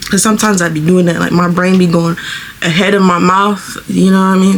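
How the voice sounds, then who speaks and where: Against noticeable background noise, a woman with a medium-pitched voice talks at a fairly quick pace. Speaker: beauty vlogger. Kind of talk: tutorial. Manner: fast; casual, chatty.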